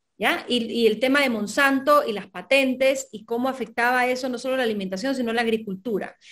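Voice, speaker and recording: Over a quiet background, a woman with a high pitch talks at a fairly quick pace with hardly any pauses. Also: ordinary pitch variation. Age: 40s. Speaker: novelist; guest. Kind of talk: interview. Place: home room.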